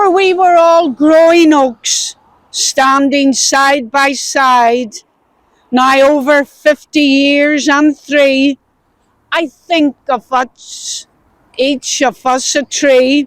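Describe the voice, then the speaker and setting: In a Belfast accent, a woman talks at a very slow pace with a high pitch, fairly even intonation and very even loudness, recorded with a dry, close sound and no echo. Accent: Belfast Northern Irish. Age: 70s. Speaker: poet. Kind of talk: poetry reading; spoken tribute. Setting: outdoors.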